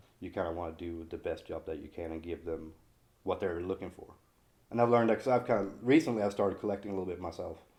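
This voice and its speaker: At a very fast pace, a man talks with a very deep, low pitch. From Sweden. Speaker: figure painter and sculptor. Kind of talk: interview. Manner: casual.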